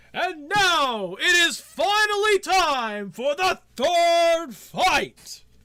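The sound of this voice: A put-on character voice pitched extremely high crawls along at a very slow pace with hardly any pauses.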